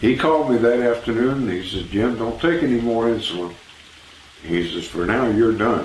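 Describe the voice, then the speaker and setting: Ordinary pitch variation and a moderate pace come through with audible room echo. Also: man, medium pitch for a man. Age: 70s. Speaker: customer giving a product testimonial. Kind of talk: testimony. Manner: halting, with frequent fillers.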